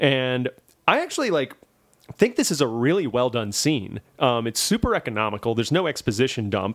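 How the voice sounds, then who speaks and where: A man speaks in a normal speaking voice at a medium pitch. His intonation is lively and his pace fairly quick. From Louisiana, US South. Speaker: podcast host, film reviewer. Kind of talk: casual chat.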